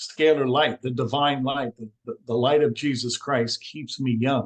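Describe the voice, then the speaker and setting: With a plain, everyday voice, a man speaks fairly slowly at medium pitch with fairly even intonation and big swings in loudness, dry and close with no echo. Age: 60s. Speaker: alternative energy healer. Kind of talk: interview.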